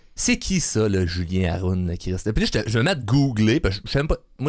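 A man speaks in an animated tone, in a very clean recording with a silent background. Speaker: podcast host. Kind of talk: casual chat.

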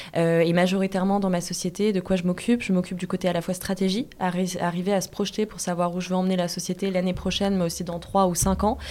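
Over noticeable background noise, a woman speaks very fast at a medium pitch in a monotone, flat intonation. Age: 20s. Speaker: entrepreneur. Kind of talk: interview.

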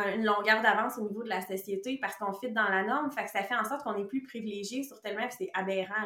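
A woman talks at a fairly high pitch with ordinary pitch variation, with noticeable background noise around her. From Quebec. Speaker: nutritionist. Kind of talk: casual interview chat.

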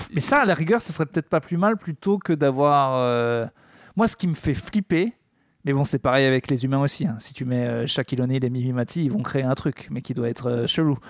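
A plain, everyday voice from a man, fairly high in pitch, at a moderate pace with lively intonation, in a dry, close sound with no echo, on a very clean recording with a silent background. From France. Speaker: podcast co-host, comedian. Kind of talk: casual chat.

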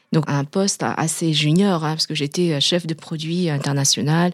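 A woman's very deep, low voice at a fairly slow pace, fairly even in intonation, in a very clean recording with a silent background. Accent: Vietnamese. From Vietnam, then France from age 11. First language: Vietnamese (speaking French). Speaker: pharmaceutical executive. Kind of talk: interview testimony. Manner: hesitant, many fillers.

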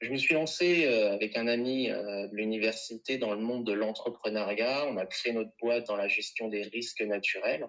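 A man with an ordinary speaking voice at a medium pitch and a moderate pace. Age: 30s. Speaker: reflexologist. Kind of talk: interview.

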